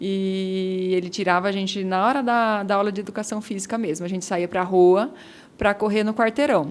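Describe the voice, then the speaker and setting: At a moderate pace, a woman talks in a normal speaking voice of medium pitch, with fairly even intonation. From Brazil, Jundiaí (São Paulo state). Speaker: former Olympic runner and running coach. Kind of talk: interview.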